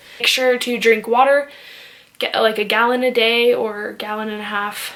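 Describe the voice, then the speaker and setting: A woman talks at a moderate pace, her pitch fairly high and her intonation fairly even. Noticeable background noise is present. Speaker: fitness vlogger. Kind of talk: casual tutorial.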